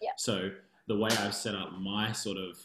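A man's fairly low, monotone voice with an Australian accent. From Australia, Canberra (ACT). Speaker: dance studio owner. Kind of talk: interview.

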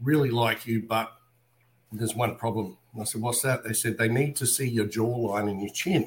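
His voice comes out somewhat breathy. The speaker is a man with a medium pitch. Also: moderate pace. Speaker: voice impressionist. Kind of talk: casual interview storytelling. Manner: animated.

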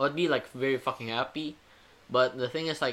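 A man with an Indonesian accent speaks at a medium pitch in a bright, sharp tone. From Indonesia, Jakarta. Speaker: university student. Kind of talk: casual chat.

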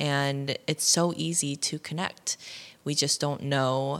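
On a very clean recording with a silent background, a woman with a Midwestern US accent speaks at a very deep, low pitch with ordinary pitch variation. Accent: General American, Midwest. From US Midwest, Ohio. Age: 20s. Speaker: podcast host. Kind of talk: casual solo monologue.

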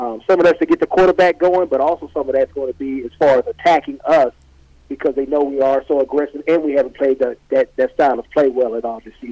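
A very fast, fairly high-pitched male voice with a dark, mellow tone and a dry, close sound with no echo. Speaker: football player. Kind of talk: casual interview.

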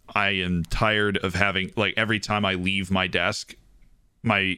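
A man's very deep, low voice with a bright, sharp tone and fairly even intonation, on a very clean recording with a silent background. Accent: American. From Florida. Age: 20s. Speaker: podcast co-host. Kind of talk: casual chat.

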